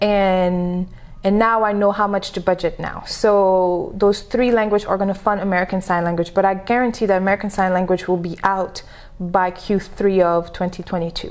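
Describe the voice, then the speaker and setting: A woman is speaking. Her pace is moderate and her pitch is medium. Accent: French. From Senegal. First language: French. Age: 30s. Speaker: entrepreneur and business coach. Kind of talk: podcast interview. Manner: animated.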